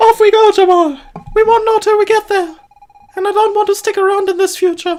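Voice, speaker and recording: The put-on character voice is squeaky and moves at a fairly quick pace. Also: man, extremely high pitch for a man. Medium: solo performance. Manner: practical, direct.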